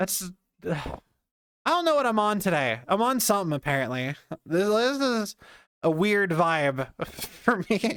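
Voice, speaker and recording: Long, frequent pauses interrupt speech delivered at a fairly slow pace. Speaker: game streamer. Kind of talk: casual chat. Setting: live stream, standing.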